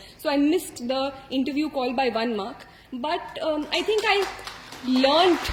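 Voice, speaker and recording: A woman speaks at a fairly slow pace in an Indian accent, her pitch high and her intonation lively. Noticeable background noise sits behind her. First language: Hindi. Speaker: civil services exam topper. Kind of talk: motivational talk. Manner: hesitant with many fillers.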